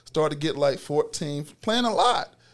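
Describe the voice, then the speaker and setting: A man talks in an ordinary speaking voice with a fairly high pitch. His intonation is lively. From US South, Macon, Georgia. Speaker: former college football player. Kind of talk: interview.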